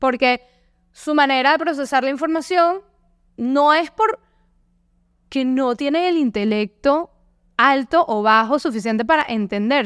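A high-pitched woman with a Venezuelan accent, moderate pace and lively intonation, plus long, frequent pauses. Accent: Venezuelan Spanish, noticeable. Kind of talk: casual interview chat. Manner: animated.

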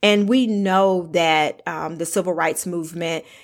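A woman speaks with a Southern US accent at a medium pitch, with ordinary pitch variation. The recording is very clean, with a silent background. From US South. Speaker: podcast host. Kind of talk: interview.

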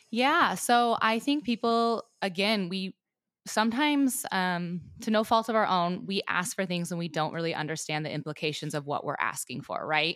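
A woman with an American accent uses a normal speaking voice at a medium pitch and moderate pace, her intonation lively, in a very clean recording with a silent background. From Montana, US. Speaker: rancher and agriculture advocate. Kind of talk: casual interview.

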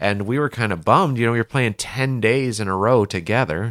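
A man in a normal speaking voice talks at a moderate pace with ordinary pitch variation, recorded very clean with a silent background and a dry, close sound with no echo. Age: 40s. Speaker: golf caddie and podcast co-host. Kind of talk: casual chat.

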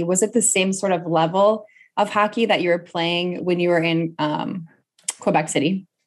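At a moderate pace, a woman uses a normal speaking voice with a medium pitch and ordinary pitch variation. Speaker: podcast host. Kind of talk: podcast interview.

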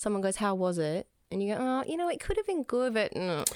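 A woman with an Australian accent speaks at a medium pitch and a fairly quick pace in a very clean recording with a silent background. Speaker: podcast co-host. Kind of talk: casual chat.

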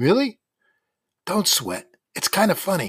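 On a very clean recording with a silent background, a man speaks at a moderate pace in an animated, deadpan tone. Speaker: podcast novel narrator. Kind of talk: audiobook narration. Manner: first-person nostalgic storyteller, wry and animated, shifting to deadpan comic asides.

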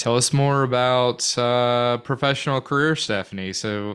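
With an Arkansas accent, a man talks at a fairly slow pace with fairly even intonation. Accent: Arkansas Southern US. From Central Arkansas, North Little Rock. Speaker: podcast co-host, recruiter. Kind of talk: casual chat.

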